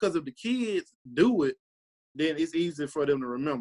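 A Mississippi accent at a moderate pace, with lively intonation and a dry, close sound without echo. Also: man. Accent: US South, Mississippi. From Mississippi (Tunica). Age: 20s. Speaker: high school football coach. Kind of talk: interview.

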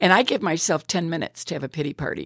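A woman with an American accent speaks at a very fast pace, her very deep, low pitch carrying vocal fry. Her intonation is lively, and the sound is dry and close with no echo. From US Midwest, Illinois. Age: 80s+. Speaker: retired teacher, church member. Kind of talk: personal faith testimony.

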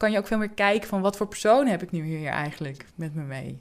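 A woman has a normal speaking voice at medium pitch with ordinary pitch variation. The recording is very clean, with a silent background. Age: 40s. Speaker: job coach in mental health care. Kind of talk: interview.

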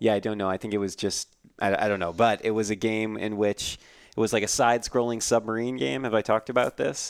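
Delivered at a very fast pace with fairly even intonation, the voice comes through dry and close with no echo on a very clean recording with a silent background. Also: man, fairly low pitch for a man. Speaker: interviewer and co-host.

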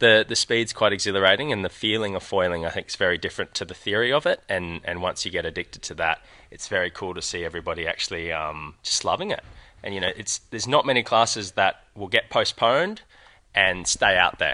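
A man with an Australian accent talks very fast. The sound is dry and close with no echo, over a quiet background. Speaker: sailing coach. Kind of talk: interview. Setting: outdoors at a sailing event, live stream.

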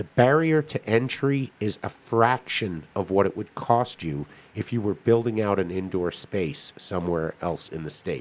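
A man with an unremarkable speaking voice and a fairly low pitch talks at a fairly slow pace with lively intonation and hardly any pauses. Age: 50s. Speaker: cannabis podcast co-host. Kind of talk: casual chat.

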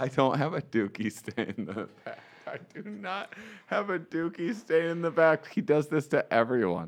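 A man's fairly high voice with vocal fry, very wide pitch swings and a moderate pace. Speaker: stand-up comedian. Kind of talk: comedic prank phone call. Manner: animated.

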